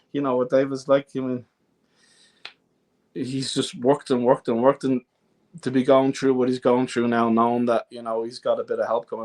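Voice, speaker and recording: A man with an Irish accent talks at a fairly quick pace and medium pitch, with monotone, flat intonation, long, frequent pauses, big swings in loudness, and a dry, close sound with no echo. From Ireland, southeast Dublin. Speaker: folk singer-songwriter. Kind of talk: podcast interview. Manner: halting, stammering at times.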